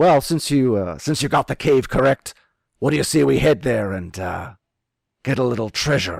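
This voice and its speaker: A man uses a put-on character voice at medium pitch and moderate pace, recorded very cleanly against a silent background. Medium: actual play. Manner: curt, commanding.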